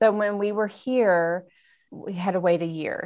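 A woman at a moderate pace in an unremarkable speaking voice. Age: 40s. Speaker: nonprofit founder. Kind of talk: interview.

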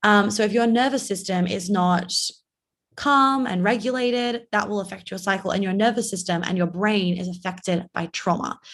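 A woman with an American accent speaks at a moderate pace with ordinary pitch variation on a very clean recording with a silent background. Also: medium pitch for a woman. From New York. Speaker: life coach. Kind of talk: podcast interview.

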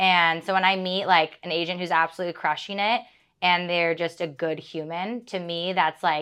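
In a quiet background, a woman with a Californian accent speaks at a moderate pace in a fairly low pitch, her tone bright and sharp. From San Diego, California. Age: 30s. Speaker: real estate agent. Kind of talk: casual interview.

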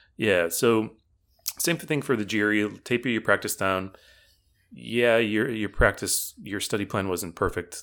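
Recorded very cleanly with a silent background, a man with a fairly low pitch speaks in a plain, everyday voice at a fairly slow pace with ordinary pitch variation. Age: 40s. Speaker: test prep tutor. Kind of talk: casual interview.

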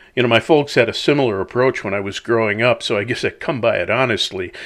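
On a very clean recording with a silent background, a man with an Upper Midwest accent talks at a fairly quick pace. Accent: Upper Midwest American. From US Upper Midwest (La Crosse, Wisconsin). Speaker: podcast host, commentator. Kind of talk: reflective monologue. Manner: conversational, folksy.

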